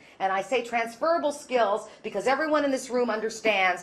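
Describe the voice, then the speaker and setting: A woman with a fairly high pitch speaks at a moderate pace in an animated tone and lively intonation, over noticeable background noise. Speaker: keynote speaker on inclusive employment. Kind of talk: conference keynote talk. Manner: loud.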